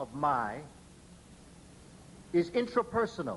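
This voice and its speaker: A man speaks in an animated tone. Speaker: lecturer on African history and education. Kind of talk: lecture to an audience. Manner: animated, oratorical.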